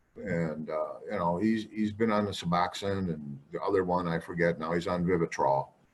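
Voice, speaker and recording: With ordinary pitch variation, a man talks at a moderate speed. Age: 60s. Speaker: parent of a person in recovery. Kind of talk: online community forum discussion. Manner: halting, repeating words.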